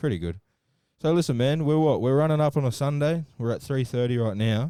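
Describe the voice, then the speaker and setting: This man has a dark, mellow tone. His pitch is fairly high, with ordinary variation. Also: fairly quick pace. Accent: Australian. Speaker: podcast host. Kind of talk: casual interview chat.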